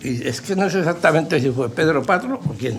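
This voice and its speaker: The speaker is a man with ordinary pitch variation. Audible room echo is present. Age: 70s. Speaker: veteran brotherhood member. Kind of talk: interview.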